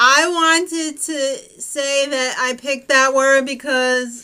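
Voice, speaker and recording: Projecting her raised voice with an American accent, a woman speaks at a high pitch with ordinary pitch variation and a bright, sharp tone. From New York tri-state area. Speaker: recap show co-host. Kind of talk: casual chat. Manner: animated.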